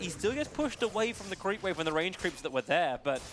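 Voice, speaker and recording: This man speaks with an Australian accent. His pitch is high. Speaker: esports commentator. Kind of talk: live commentary. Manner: animated.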